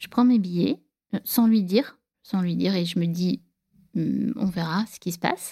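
A woman with a medium pitch and a dark, mellow tone speaks at a moderate pace with fairly even intonation, the sound dry and close with no echo. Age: 40s. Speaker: divorced mother telling her love story. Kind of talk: personal storytelling interview.

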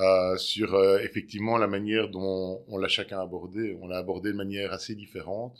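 Monotone, flat intonation from a man at a fairly low pitch and moderate pace, on a very clean recording with a silent background. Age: 40s. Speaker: separated father. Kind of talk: interview. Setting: at his home. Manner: halting, frequent hesitations.

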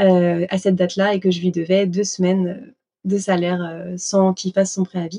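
A woman's medium-pitched voice, dark and mellow, at a fairly slow pace with monotone, flat intonation. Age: 20s. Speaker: pastry chef and shop owner. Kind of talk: interview conversation. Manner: hesitant, many fillers.

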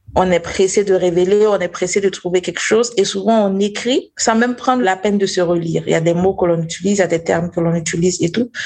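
A woman speaks at a very fast pace with hardly any pauses and very even loudness. Her medium-pitched voice keeps fairly even intonation. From Burkina Faso. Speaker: investigative journalist. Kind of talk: interview. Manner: halting.

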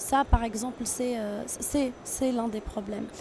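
A woman speaks at a high pitch in a monotone, flat intonation. Noticeable background noise can be heard. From Tunisia. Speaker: international trade agency officer. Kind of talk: interview. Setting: tech trade show.

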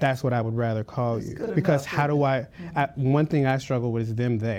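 This is a man speaking. The background is quiet. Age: 20s. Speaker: social media entrepreneur. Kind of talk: panel discussion. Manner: hesitant, filler words.

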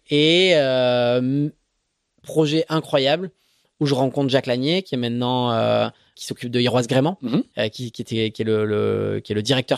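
In a plain, everyday voice, a man of medium pitch talks at a moderate pace with ordinary pitch variation and big swings in loudness, the sound dry and close with no echo. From Marseille, Provence. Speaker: offshore racing sailor. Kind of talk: interview. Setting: kitchen of the office.

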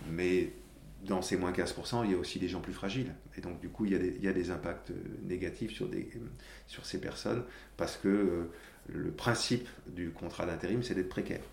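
Over audible room echo, a man with a very deep, low pitch and vocal fry speaks at a moderate pace with ordinary pitch variation and long, frequent pauses. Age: 50s. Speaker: corporate social responsibility director. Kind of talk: interview. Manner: halting, frequent repetitions.

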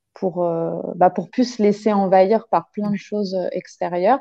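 Her pitch medium and intonation fairly even, a woman speaks at a very slow pace. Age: 30s. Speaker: childcare worker. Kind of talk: casual interview. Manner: hesitant, many fillers.

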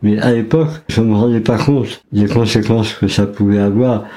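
Noticeable background noise and audible room echo fill the recording. Through them, a man talks at a moderate pace. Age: 50s. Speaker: violinist and cancer survivor. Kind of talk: personal testimony interview.

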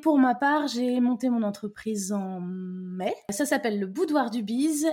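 Speaking at a very slow pace, a woman has a fairly high pitch, a dark, mellow tone and lively intonation. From Brittany, France. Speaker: entrepreneur and podcaster. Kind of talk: casual conversation.

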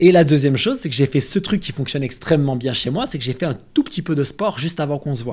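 Talking at a very fast pace with hardly any pauses, a man with a fairly high pitch and a somewhat breathy voice uses lively intonation. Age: 30s. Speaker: nutrition and health content creator. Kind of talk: casual interview chat.

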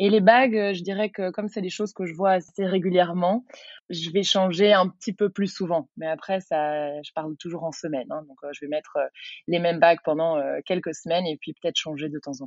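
Her loudness swings widely as a woman with a plain, everyday voice and fairly low pitch speaks at a moderate pace with ordinary pitch variation. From Belgium, Brussels. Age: 30s. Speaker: yoga teacher and entrepreneur. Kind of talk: casual interview.

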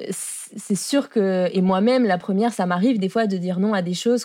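A woman talks at a moderate speed, her medium pitch moving in a fairly level way. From France. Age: 20s. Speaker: architect and entrepreneur. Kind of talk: casual interview. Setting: studio.

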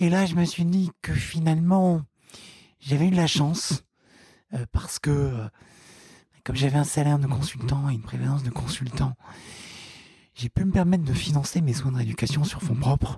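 Dry and close with no echo, the recording captures a man with a fairly high pitch, a dark, mellow tone and a somewhat breathy quality, pausing long and often. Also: ordinary pitch variation, moderate pace. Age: 20s. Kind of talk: interview. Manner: halting, many fillers and repeated words.

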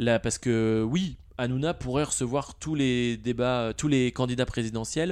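In a normal speaking voice, a man talks at medium pitch and a fairly slow pace with ordinary pitch variation, very even loudness and hardly any pauses. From France, Nantes. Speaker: product manager. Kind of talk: casual interview.

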